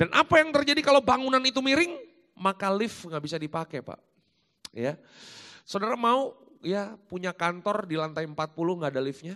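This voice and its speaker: A man with high pitch and a raised, projected voice speaks at a moderate pace in a bright, sharp tone. His pitch makes very wide swings and his loudness swings widely, with a dry, close sound and no echo. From Jakarta and Malang, East Java, Indonesia. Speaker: pastor. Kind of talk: sermon. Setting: church.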